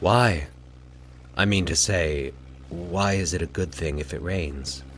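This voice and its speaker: Putting on a character voice, a man speaks softly with a calm tone, very deep, low pitch and fairly slow pace against clear background noise. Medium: read story. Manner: calm, soft-spoken.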